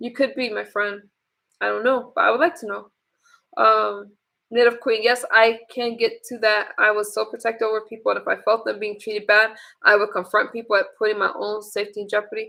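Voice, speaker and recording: Her pitch sits fairly high and shows ordinary variation. The woman keeps a fairly quick pace. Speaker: livestream host / vlogger. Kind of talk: casual livestream chat reading comments. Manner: soft-spoken; hesitant, many fillers.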